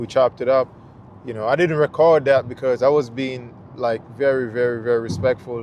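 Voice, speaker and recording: A man with a Jamaican accent talks at a fairly quick pace and a medium pitch with fairly even intonation. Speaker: travel vlogger. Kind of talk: casual chat. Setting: live stream. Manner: casual, hesitant with fillers.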